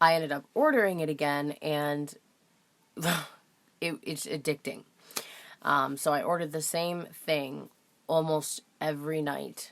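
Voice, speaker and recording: A woman with a very deep, low voice speaks at a fairly slow pace in a flat monotone, leaving long, frequent pauses. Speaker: delivery driver. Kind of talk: casual talk to camera. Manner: hesitant, stuttering, repeats phrases.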